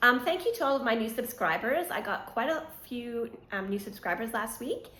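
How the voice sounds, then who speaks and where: A woman's fairly high, lively voice at a fairly quick pace, with audible room echo. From Quebec, Montreal. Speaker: knitting podcaster. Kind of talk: casual vlog chat.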